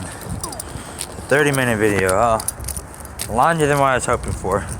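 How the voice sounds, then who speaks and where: A man with ordinary pitch variation, audible room echo, and noticeable background noise. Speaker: gaming youtuber. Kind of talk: casual vlog commentary. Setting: outdoors, walking. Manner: loud.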